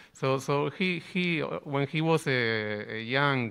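With a Spanish accent, a man speaks at a medium pitch. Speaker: bandoneon player and composer. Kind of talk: panel discussion. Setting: live stage with audience.

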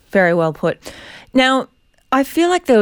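A woman speaks in an Australian accent on a very clean recording with a silent background and a dry, close sound with no echo. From South Australia. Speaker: journalist and podcast host. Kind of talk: casual interview chat.

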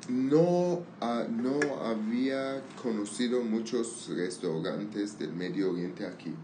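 A man's medium-pitched voice at a very slow pace, with audible room echo and noticeable background noise. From Armenian, raised in Syria/Lebanon. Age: 30s. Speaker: language learning conversation partner. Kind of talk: casual chat. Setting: outdoors on a patio. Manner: halting.

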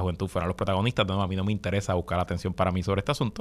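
A man with a Puerto Rican accent at a very fast pace, fairly low in pitch. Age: 40s. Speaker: radio host. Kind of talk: news commentary.

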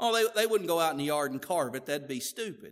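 A man with a Southern US accent, high pitch, ordinary pitch variation and a very clean recording over a silent background. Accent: southern US drawl. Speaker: pastor. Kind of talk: sermon. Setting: church.

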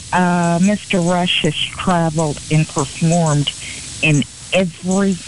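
Noticeable background noise is present. The talking goes at a very slow pace. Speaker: arts program representative. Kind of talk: casual interview chat.

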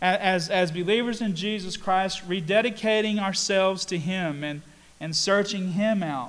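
Audible room echo surrounds a man talking at a moderate pace. His voice is high, with a Southern US accent. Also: ordinary pitch variation. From US South, North Carolina. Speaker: pastor. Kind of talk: sermon. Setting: church. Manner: halting, many fillers and repeats.

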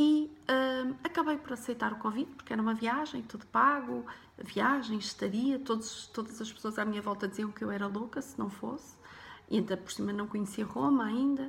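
A woman talks at a moderate pace with a fairly high pitch and ordinary pitch variation. She has an ordinary speaking voice. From Portugal, Porto. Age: 40s. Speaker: life coach and podcaster. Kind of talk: personal story monologue.

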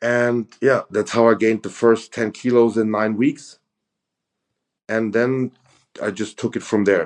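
Pausing long and often, a man with a German accent speaks at a fairly slow pace in a medium pitch, his intonation monotone and flat against a quiet background. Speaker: professional bodybuilder. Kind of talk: casual chat.

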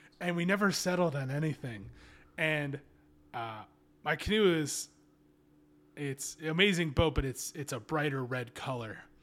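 In a very clean recording with a silent background, a man with a fairly high pitch and ordinary pitch variation speaks with long, frequent pauses. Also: moderate pace. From Kentucky, US South. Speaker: adventurer and canoeist. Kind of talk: casual chat.

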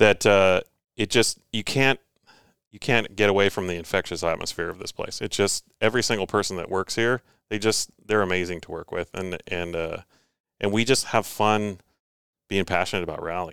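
A man with an American accent speaks in an unremarkable speaking voice at a fairly low pitch and a moderate pace, in a very clean recording with a silent background and a dry, close sound with no echo. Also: fairly even intonation, big swings in loudness. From California. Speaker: driving school staff member. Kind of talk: casual chat.

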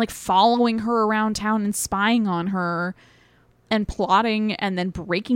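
A woman talks at a fairly slow pace with an unremarkable speaking voice. Her pitch moves with ordinary variation. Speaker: podcast co-host. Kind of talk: casual chat. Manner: joking, playful.

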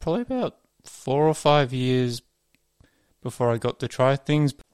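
The voice, in an Australian accent, keeps a fairly even intonation, with a dry, close sound and no echo. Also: man. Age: 30s. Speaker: office worker. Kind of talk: recorded testimony.

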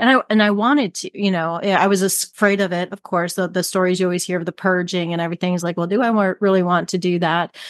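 Against a quiet background, the speech races at a very fast pace with hardly any pauses, the sound dry and close with no echo. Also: woman, medium pitch for a woman. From US Midwest, Cleveland, Ohio. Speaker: business coach. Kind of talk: interview conversation.

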